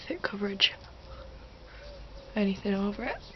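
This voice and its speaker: Over noticeable background noise, a woman speaks quietly at a medium pitch. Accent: British. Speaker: beauty vlogger. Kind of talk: tutorial. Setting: at home. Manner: quiet, low volume; hesitant, many fillers.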